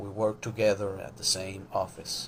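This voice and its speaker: Delivered at a fairly slow pace, the man's speech is monotone and flat. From Venezuela. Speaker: sport psychologist. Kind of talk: live social media talk. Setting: Instagram live stream. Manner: hesitant, many fillers.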